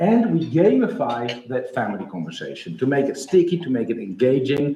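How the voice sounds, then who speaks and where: Audible room echo surrounds a voice with a Dutch accent that moves at a fairly quick pace with very wide pitch swings. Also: man. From Netherlands. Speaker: startup founder. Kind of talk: pitch presentation. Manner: hesitant, many fillers.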